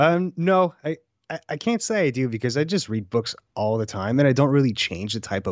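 A man's fairly high voice at a fairly quick pace, with very wide pitch swings. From Canada (French-speaking). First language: French. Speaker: audio technical producer. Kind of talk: casual chat.

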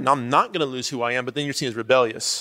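Recorded very cleanly against a silent background, a man speaks with a fairly high pitch and a bright, sharp tone. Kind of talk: panel discussion. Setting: stage with audience.

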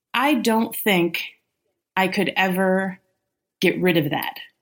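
The recording is very clean with a silent background as a woman speaks at medium pitch with ordinary pitch variation. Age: 30s. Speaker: litigant. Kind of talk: casual chat.

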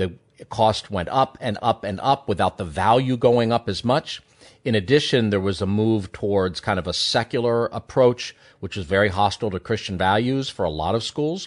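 An unremarkable speaking voice, a man's fairly low one, moves at a moderate pace with ordinary pitch variation, the sound dry and close with no echo over a quiet background. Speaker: economist and columnist. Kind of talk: radio interview discussion.

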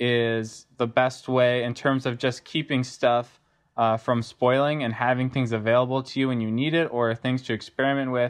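Speaking at a medium pitch with fairly even intonation, a man has an ordinary speaking voice. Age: young. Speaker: cider maker and orchard manager. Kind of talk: interview.

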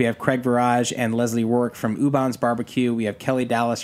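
The man's medium-pitched voice moves at a fairly quick pace in a monotone, flat delivery. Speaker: pitmaster. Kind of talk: casual chat.

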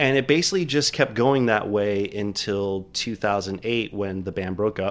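In a plain, everyday voice, a man with a fairly low pitch speaks at a moderate pace with ordinary pitch variation and hardly any pauses. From Miami, Florida. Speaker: bar and restaurant owner. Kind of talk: casual interview. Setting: studio.

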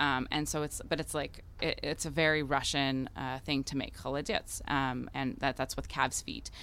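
With an American accent, a woman speaks at a moderate pace with hardly any pauses. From US Midwest, Chicago. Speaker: chef and restaurant owner. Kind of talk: casual interview. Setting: live event broadcast.

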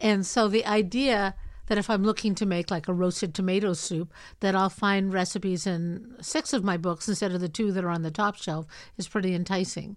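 On a very clean recording with a silent background, a woman in an ordinary speaking voice talks at a fairly quick pace with medium pitch and ordinary pitch variation. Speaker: podcast host. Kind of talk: casual interview conversation.

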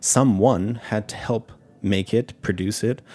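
An unremarkable speaking voice from a man with an American accent, a fairly low pitch and fairly even intonation. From New York City, with childhood years in Japan. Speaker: sake sommelier and restaurant owner. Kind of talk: casual interview chat. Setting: studio.

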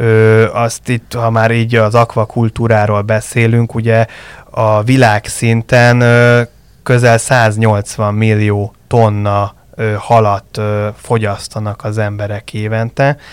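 A man speaks in a monotone, flat intonation at a very slow pace. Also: medium pitch for a man. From Budapest, Hungary. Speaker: fish farming industry association director. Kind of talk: interview.

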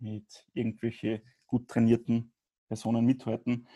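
A man's very slow, monotone delivery at a medium pitch, flat in intonation and dark, mellow in tone. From Upper Austria, Grieskirchen. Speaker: podcast guest sharing experience with binge eating. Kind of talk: interview.

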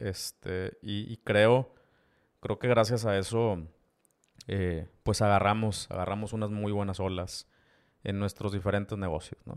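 In a very clean recording with a silent background and a dry, close sound with no echo, a man with a fairly low voice and a Mexican accent speaks at a fairly slow pace with fairly even intonation and long, frequent pauses. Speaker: podcast host and e-commerce entrepreneur. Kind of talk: solo podcast monologue. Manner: casual, with many fillers and repetitions.

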